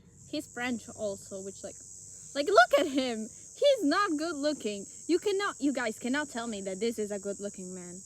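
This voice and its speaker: Over noticeable background noise, a woman with a high pitch speaks at a moderate pace, her pitch swinging very widely and her loudness shifting in big swings. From Italy. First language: Italian. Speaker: podcast co-host. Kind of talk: casual chat. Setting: outdoors in a forest.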